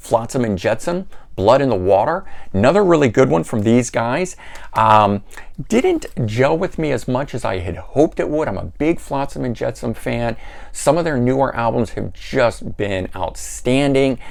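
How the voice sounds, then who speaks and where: A man with a slight Florida accent and vocal fry speaks at a medium pitch and a moderate pace, his pitch swinging very widely. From Florida, US. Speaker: music collector YouTuber. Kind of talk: casual video review of CD collection. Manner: hesitant, many fillers.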